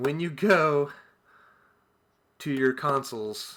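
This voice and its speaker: In a very clean recording with a silent background, a man speaks in a bright, sharp tone with ordinary pitch variation. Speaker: gaming streamer. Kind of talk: tutorial. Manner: halting, with many fillers; casual.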